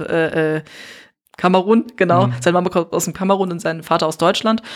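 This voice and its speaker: On a very clean recording with a silent background, a woman with an ordinary speaking voice talks at a fairly low pitch with fairly even intonation. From Neuss, Rhineland, Germany. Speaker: artist and podcaster. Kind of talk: casual interview. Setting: hotel room.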